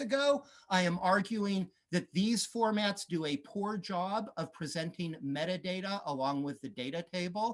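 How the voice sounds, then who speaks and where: An American accent with ordinary pitch variation. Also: man. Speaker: beamline scientist. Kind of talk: conference talk. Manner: hesitant, many fillers.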